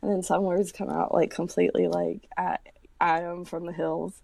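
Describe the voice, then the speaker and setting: A woman's voice on a very clean recording with a silent background. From West Virginia. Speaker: potter and artist. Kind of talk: casual interview. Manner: conversational with many fillers.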